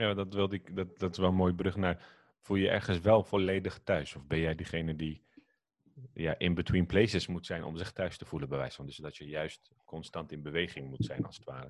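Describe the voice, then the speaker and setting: In a very deep, low voice with vocal fry, a man talks at a fairly quick pace with ordinary pitch variation. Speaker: podcast host. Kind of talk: casual podcast interview.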